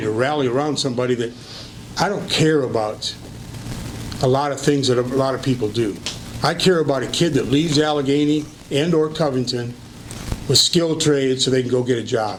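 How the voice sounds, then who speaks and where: Amid noticeable background noise and audible room echo, a man of medium pitch speaks at a fairly quick pace with ordinary pitch variation and long, frequent pauses. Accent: American. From Michigan, US Midwest. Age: 70s. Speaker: retired teacher and local politician. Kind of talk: interview for school board position.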